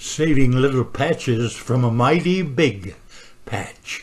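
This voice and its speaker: This man's voice comes across as somewhat breathy. He talks very slowly. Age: 80s+. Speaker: war veteran, bomber pilot. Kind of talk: museum gallery narration.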